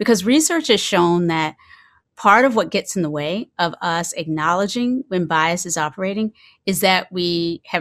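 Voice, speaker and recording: A woman's plain, everyday voice, fairly low, with an American accent, ordinary pitch variation and a moderate pace, on a very clean recording with a silent background. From US South, eastern North Carolina. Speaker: mindfulness teacher. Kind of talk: lecture.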